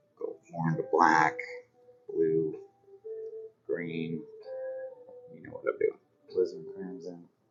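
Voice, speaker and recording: A man with an American accent, playful in tone, fairly slow, with long, frequent pauses, big swings in loudness and music in the background. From US Midwest, Nebraska. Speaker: painting instructor. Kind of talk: live painting tutorial. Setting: live stream. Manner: casual, playful.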